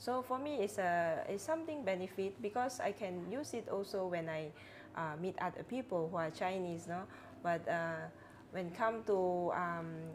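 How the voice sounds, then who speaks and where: A woman with a Cantonese accent speaks with lively intonation. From Penampang, Sabah, Malaysia. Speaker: religious sister. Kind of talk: casual interview. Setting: studio.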